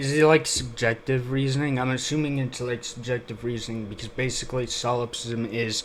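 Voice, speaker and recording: A man speaks with fairly even intonation at a moderate pace, and noticeable background noise is present. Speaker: YouTube reaction commentator. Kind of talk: video reaction commentary. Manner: emotionless, flat; halting, many fillers.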